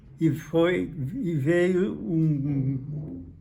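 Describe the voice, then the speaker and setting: Fairly even intonation from a man with fairly high pitch, audible room echo around him. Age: 90s. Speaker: former football club president. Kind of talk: interview. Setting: at his home. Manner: halting, repeats words.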